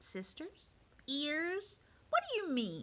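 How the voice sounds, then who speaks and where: A woman uses a squeaky, high-pitched put-on character voice whose pitch swings very widely. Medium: read story. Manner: complaining, sarcastic.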